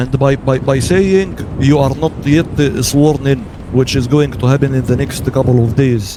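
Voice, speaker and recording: Over noticeable background noise and audible room echo, a man speaks at a moderate pace with very even loudness and fairly even intonation. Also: medium pitch for a man. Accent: non-native. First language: not English. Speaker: roleplay gamer playing citizen. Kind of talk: roleplay council meeting.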